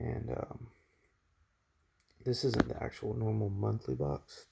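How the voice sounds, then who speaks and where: The speaker is soft-spoken with a relaxed tone. The pace is fairly slow. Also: man. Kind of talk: ASMR unboxing, casual talk to camera. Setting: near-mic home recording with crinkling package sounds. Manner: soft-spoken, relaxed.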